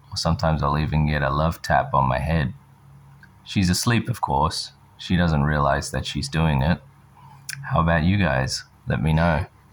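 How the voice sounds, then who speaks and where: The voice shows ordinary pitch variation, with noticeable background noise in the recording. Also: man. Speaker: podcast host for English learners. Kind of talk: casual monologue for English learners. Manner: slow.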